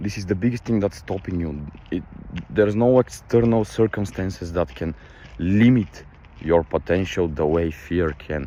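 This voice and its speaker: With a Balkan accent, a man uses a very deep, low pitch and a dark, mellow tone, speaking at a moderate pace with lively intonation. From Balkans. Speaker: motivational vlogger. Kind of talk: casual motivational monologue. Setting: outdoors on a night walk. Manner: animated.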